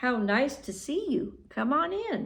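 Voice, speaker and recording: A woman puts on a character voice, high-pitched with very wide pitch swings. She speaks at a fairly slow pace, and an echo is audible. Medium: read story. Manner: friendly, generous.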